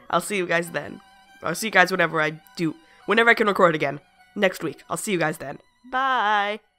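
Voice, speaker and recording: Music plays in the background as a woman talks at a fairly quick pace with lively intonation and long, frequent pauses. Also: medium pitch for a woman. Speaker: gaming video creator. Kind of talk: casual talk to camera.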